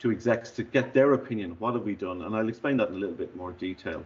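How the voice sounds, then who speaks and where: The man's pitch is medium. It rises and falls in an ordinary way. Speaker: business technology speaker, former CIO. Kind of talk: online presentation. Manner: fast.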